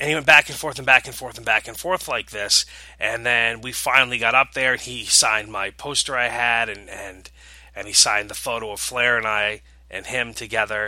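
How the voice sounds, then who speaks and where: This man talks at a fairly quick pace with a medium pitch and fairly even intonation. His tone is bright and sharp, with big swings in loudness. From New England. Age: 40s. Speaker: podcast host. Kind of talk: casual monologue.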